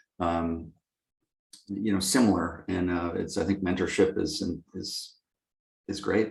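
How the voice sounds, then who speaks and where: Fairly slow and somewhat breathy, a man speaks in a very deep, low voice with long, frequent pauses. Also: ordinary pitch variation. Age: 60s. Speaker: lighting company executive. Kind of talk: interview. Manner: halting, many fillers.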